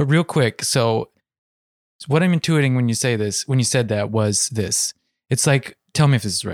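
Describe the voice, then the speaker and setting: Recorded very cleanly with a silent background and a dry, close sound with no echo, a man with a plain, everyday voice speaks at a medium pitch and a moderate pace with ordinary pitch variation. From US Midwest, Ohio. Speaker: podcast co-host. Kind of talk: casual political discussion.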